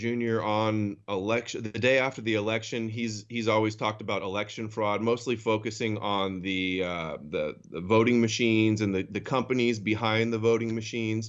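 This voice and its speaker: At a moderate pace and with hardly any pauses, a man of medium pitch speaks with fairly even intonation in an ordinary speaking voice. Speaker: co-host.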